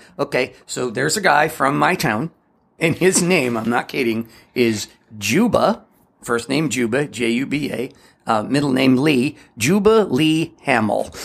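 Using an ordinary speaking voice, a man of medium pitch talks at a fairly slow pace with lively intonation. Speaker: podcast co-host. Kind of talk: casual chat. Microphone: varies with distance, echo.

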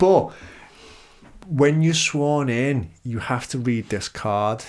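The speaker talks at a fairly slow pace with a Liverpool accent. Pitch varies in an ordinary way. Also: man. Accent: Scouse. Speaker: podcast host. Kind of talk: casual chat.

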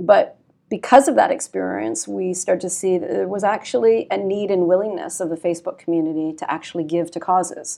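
A woman with a Canadian accent, fairly low-pitched and dark, mellow in tone, with vocal fry, lively intonation, a fairly quick pace and hardly any pauses. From Canada. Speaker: nonprofit partnerships executive at a tech company. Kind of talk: interview. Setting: office meeting room.

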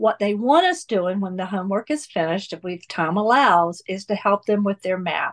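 A woman's ordinary speaking voice in an American accent, medium in pitch with ordinary pitch variation, at a fairly quick pace with hardly any pauses, in a dry, close recording with no echo. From US South, North Carolina. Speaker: church volunteer. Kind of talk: interview conversation.

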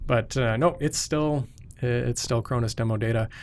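A man at a medium pitch, fairly quick in pace with ordinary pitch variation, on a very clean recording with a silent background. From North Dakota, US (Fargo). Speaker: software product engineer. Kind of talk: technical interview. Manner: frequent filler 'uh'.

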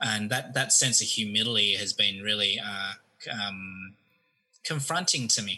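A man with an Australian accent speaks at a fairly slow pace. His fairly low voice has a bright, sharp tone and ordinary pitch variation. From Australia (Melbourne). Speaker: seminary student. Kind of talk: casual chat.

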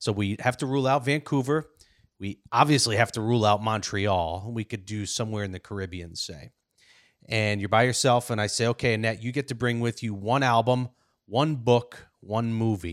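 At a moderate pace, a man speaks in a plain, everyday voice with ordinary pitch variation, on a very clean recording with a silent background. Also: medium pitch for a man. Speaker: podcast host. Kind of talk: casual interview.

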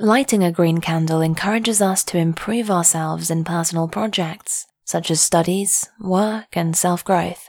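In an unremarkable speaking voice, a woman with a fairly low pitch talks with hardly any pauses and ordinary pitch variation. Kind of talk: guided meditation. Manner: slow, soothing, calm; gentle, hushed, with long pauses.

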